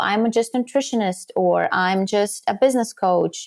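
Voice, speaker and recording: Speaking fairly slowly with a slight Latvian accent, a woman uses ordinary pitch variation in a very clean recording with a silent background. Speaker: podcast guesting strategist. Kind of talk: interview.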